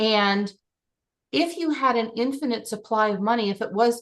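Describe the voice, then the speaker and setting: Her intonation is lively and her pitch fairly high. The woman has an unremarkable speaking voice. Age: 60s. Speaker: life and business coach. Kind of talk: group coaching session.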